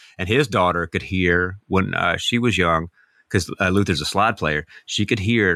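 In a dry, close sound with no echo and a very clean recording with a silent background, the speaker has an American accent and a bright, sharp tone, with ordinary pitch variation at a moderate pace. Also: man. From US South. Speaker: singer-songwriter. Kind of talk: casual chat.

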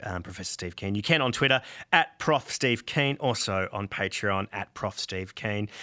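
An Australian man with a bright, sharp tone speaks at a moderate pace with ordinary pitch variation. The recording is very clean, with a silent background. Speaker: comedy podcast host. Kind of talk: satirical comedy podcast chat. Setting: studio.

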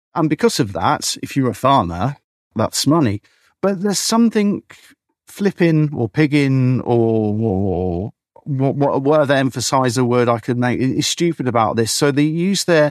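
The recording is dry and close with no echo and a quiet background, as a man with a southern English accent talks at a moderate pace with fairly high pitch and lively intonation. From southern England, Berkshire. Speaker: beekeeper. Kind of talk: casual chat. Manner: halting, repeats words.

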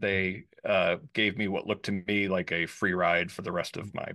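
A man with an American accent at a fairly quick pace, against a quiet background. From New York suburbs. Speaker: free speech lawyer and advocacy group director. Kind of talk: interview conversation. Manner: fast.

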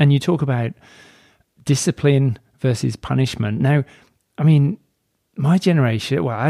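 With a dry, close sound and no echo, a man speaks at a medium pitch in a dark, mellow tone, his intonation lively. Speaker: podcast host. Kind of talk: casual interview chat.

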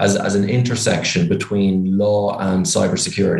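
Fairly low-pitched man with an Irish accent, fairly even intonation and a fairly quick pace. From Ireland. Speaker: startup founder and CEO. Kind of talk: casual interview. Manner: cheerful, direct.

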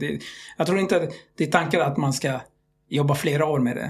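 A somewhat breathy man's voice, fairly high in pitch, at a fairly quick pace. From Libya and Algeria, Iraqi family. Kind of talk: casual interview chat.

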